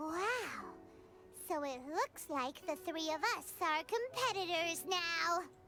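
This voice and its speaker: An extremely high, put-on character voice goes at a fairly slow pace with long, frequent pauses, over clear music in the background. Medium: video game. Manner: excitable.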